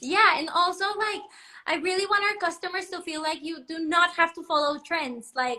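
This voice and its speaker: A woman's raised, projected voice in a Spanish accent, extremely high and bright, sharp in tone, at a moderate pace with ordinary pitch variation and big swings in loudness. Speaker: fashion designer. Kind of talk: live interview. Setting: livestream.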